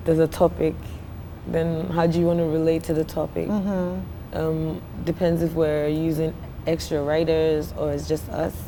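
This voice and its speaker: With a Ghanaian accent, a woman speaks at a moderate pace in a very deep, low pitch and fairly even intonation. Noticeable background noise sits behind her. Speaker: singer and songwriter. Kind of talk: interview answer. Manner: casual, conversational.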